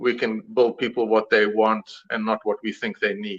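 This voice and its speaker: A man with a South African accent at a fairly slow pace. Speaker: suspension company founder. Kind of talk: live show interview.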